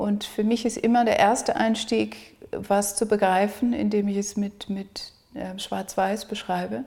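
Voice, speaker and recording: Noticeable background noise surrounds a woman speaking at a very slow pace. Her intonation is monotone and flat. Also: medium pitch for a woman. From South Africa. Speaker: artist. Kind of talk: interview. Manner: halting.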